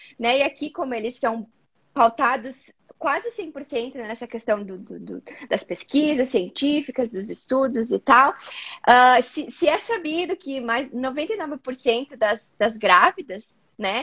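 The voice has a bright, sharp tone and lively intonation, moving at a very slow pace with big swings in loudness. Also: woman, high pitch for a woman. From southern Brazil, Rio Grande do Sul (Caxias do Sul). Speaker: psychologist. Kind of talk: interview on a live video chat.

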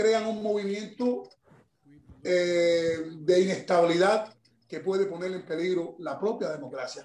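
This is a man speaking. His pace is fairly slow. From Cuba. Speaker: former political prisoner and human rights activist. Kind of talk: interview.

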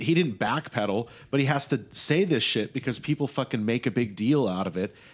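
A man with a plain, everyday voice at medium pitch talks at a fairly quick pace with lively intonation and hardly any pauses, in a very clean recording with a silent background. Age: 20s. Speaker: podcast host. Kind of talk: casual chat.

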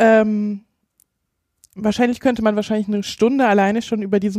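Heard in a dry, close sound with no echo, the voice has a dark, mellow tone and fairly even intonation. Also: woman. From Hesse, Gießen. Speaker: researcher and democracy activist. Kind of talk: interview. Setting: office.

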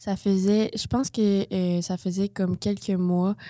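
A woman's fairly low, dark and mellow voice, monotone and flat in intonation, at a fairly slow pace, in a very clean recording with a silent background and a dry, close sound with no echo. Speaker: medical student. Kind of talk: interview testimony.

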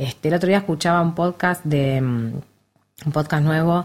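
On a very clean recording with a silent background, a woman with a Rioplatense accent speaks at a fairly slow pace. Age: 50s. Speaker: actress. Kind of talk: casual chat.

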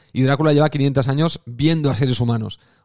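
A man has an ordinary speaking voice at medium pitch with ordinary pitch variation. He talks at a fairly quick pace in a dry, close sound with no echo. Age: 40s. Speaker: podcast host. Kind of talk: solo monologue podcast. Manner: casual, conversational with fillers.

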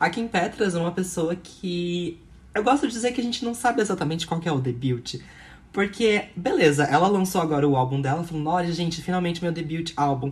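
A woman talks at a fairly quick pace in a normal speaking voice. Her pitch is fairly low, and her intonation is lively. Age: 20s. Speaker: podcast co-host. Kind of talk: casual chat.

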